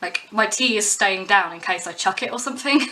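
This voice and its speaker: A woman with a British accent and medium pitch speaks at a fairly quick pace. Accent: English (UK). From southern England, West Sussex. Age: 20s. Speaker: musician and pub worker. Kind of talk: casual vlog monologue.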